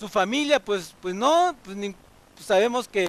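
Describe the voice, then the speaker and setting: Pitched high with lively intonation, a man speaks in a slight Veracruz accent. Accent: Veracruz (jarocho) Mexican Spanish, slight. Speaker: pastor. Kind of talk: sermon. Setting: church, livestreamed. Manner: halting, with repetitions.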